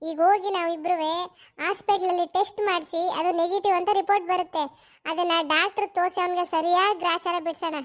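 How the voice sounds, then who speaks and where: A woman's cartoonish character voice at an extremely high pitch, monotone and flat, at a moderate pace, in a very clean recording with a silent background. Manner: bold, quick-tempered, sharp-tongued.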